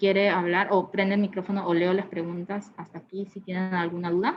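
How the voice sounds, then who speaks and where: A woman's medium-pitched voice in a monotone, flat intonation at a moderate pace. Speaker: product specialist presenting a webinar. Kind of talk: technical webinar presentation. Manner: many fillers and hesitations.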